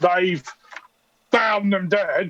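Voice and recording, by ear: In a dry, close sound with no echo, a man does a put-on character voice at high pitch with a fairly bright tone. He goes at a very slow pace, with ordinary pitch variation.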